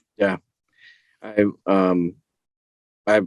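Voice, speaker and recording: Monotone, flat delivery in a dry, close recording with no echo. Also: man. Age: 30s. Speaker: voice-over artist. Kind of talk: casual interview chat.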